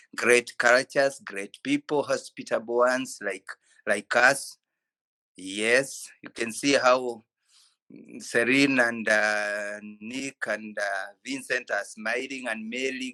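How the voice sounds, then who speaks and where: A bright, sharp tone from a man with a Kenyan accent, medium pitch and fairly even intonation, at a very slow pace in a dry, close sound with no echo. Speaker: physiotherapist. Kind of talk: ceremony speech on video call. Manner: halting.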